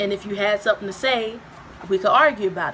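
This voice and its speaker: There is noticeable background noise as a woman speaks. Her pitch is medium and her intonation fairly even. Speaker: YouTuber. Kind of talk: casual chat. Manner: loud, boisterous.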